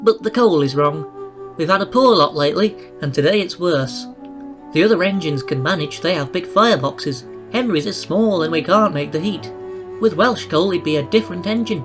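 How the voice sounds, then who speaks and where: Set against clear music in the background, a put-on character voice speaks at a middle pitch. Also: fairly quick pace. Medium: read story.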